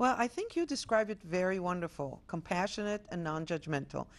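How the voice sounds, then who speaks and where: Recorded very cleanly with a silent background, a woman speaks at a fairly low pitch. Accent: Israeli. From Israel. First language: Hebrew. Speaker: health center executive director. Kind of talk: TV interview. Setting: studio.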